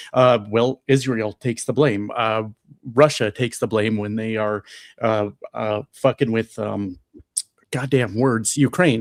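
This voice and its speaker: Speaking at a fairly slow pace with fairly even intonation, a man with a plain, everyday voice and medium pitch comes through dry and close with no echo, on a very clean recording with a silent background. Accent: American. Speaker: live streamer. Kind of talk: casual chat. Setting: live stream.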